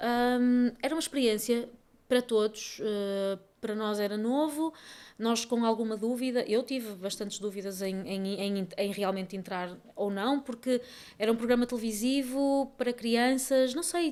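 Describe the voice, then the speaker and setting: Recorded very cleanly against a silent background, a woman speaks at a moderate pace and fairly high pitch, with ordinary pitch variation. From northern Portugal, Barcelos (Minho). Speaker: actress and singer. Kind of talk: interview conversation. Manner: hesitant, many fillers.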